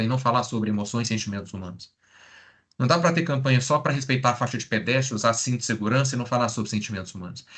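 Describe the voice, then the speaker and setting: Very fast in pace, a man talks at a medium pitch with ordinary pitch variation. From Brazil, interior of Minas Gerais (Triângulo Mineiro). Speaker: psychologist. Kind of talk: lecture. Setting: live stream.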